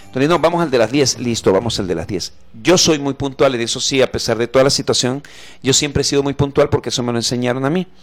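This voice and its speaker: Very fast speech comes from a man with a Mexican accent. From Mexico. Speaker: comedian. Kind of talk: casual chat.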